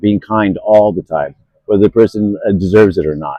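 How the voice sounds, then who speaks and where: This man has a normal speaking voice, a fairly low pitch, ordinary pitch variation and a fairly quick pace. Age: 60s. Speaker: homeless man interviewed on the street. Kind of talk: street interview.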